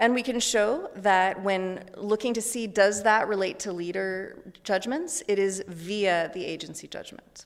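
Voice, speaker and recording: This woman has an ordinary speaking voice at a medium pitch, with ordinary pitch variation. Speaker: psychology researcher. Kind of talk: lecture.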